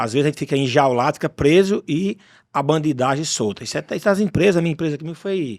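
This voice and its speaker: A man with an unremarkable speaking voice talks at a fairly quick pace with fairly high pitch and lively intonation, in a dry, close sound with no echo on a very clean recording with a silent background. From Paraíba interior, northeastern Brazil. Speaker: podcast host, business owner. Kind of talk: casual chat.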